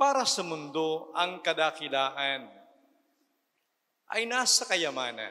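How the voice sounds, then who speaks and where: With a bright, sharp tone and a fairly high pitch, a man speaks at a very slow pace, his voice swinging very widely in pitch between long, frequent pauses. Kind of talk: sermon.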